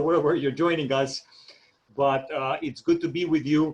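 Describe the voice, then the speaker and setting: This man's voice sits at a fairly high pitch. He talks at a moderate pace. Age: 30s. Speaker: network marketing trainer. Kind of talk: training presentation. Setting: video call. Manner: hesitant, many fillers.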